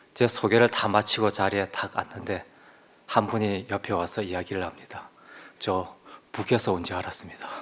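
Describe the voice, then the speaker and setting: Whispering at a moderate pace. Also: man. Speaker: lay church member giving a testimony. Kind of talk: testimony. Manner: forceful, sometimes raises voice.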